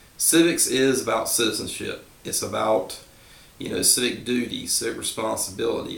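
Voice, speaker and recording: A man speaks in a relaxed tone amid noticeable background noise and audible room echo. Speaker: civics teacher. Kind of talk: review lecture. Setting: at home. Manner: relaxed, informal.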